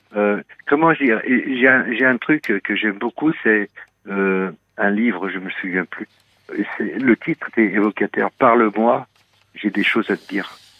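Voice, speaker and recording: Talking at a fairly slow pace with long, frequent pauses, a man uses a fairly low pitch and ordinary pitch variation while his loudness swings widely. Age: 60s. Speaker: radio caller. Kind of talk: personal confession on call-in radio. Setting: phone call. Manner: halting, hesitant.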